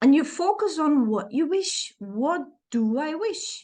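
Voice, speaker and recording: A woman with a Dutch accent speaks with very wide pitch swings. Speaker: self-help coach. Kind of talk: tutorial.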